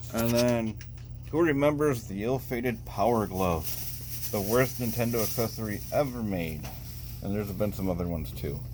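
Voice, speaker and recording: Lively intonation from a man with a fairly low pitch, at a moderate pace, in a room with audible echo. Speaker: retro gaming vlogger. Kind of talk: casual vlog walkthrough. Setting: in a used game shop.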